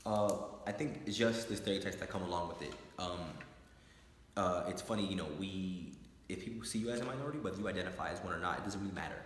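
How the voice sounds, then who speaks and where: A man speaks very fast at a very deep, low pitch, with noticeable background noise behind him. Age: 20s. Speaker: court training and education associate. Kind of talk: interview answer.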